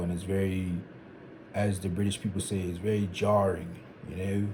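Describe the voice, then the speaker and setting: At a fairly quick pace, the voice comes across as somewhat breathy with a dark, mellow tone. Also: man. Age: 20s. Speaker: vlogger. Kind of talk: casual monologue. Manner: conversational.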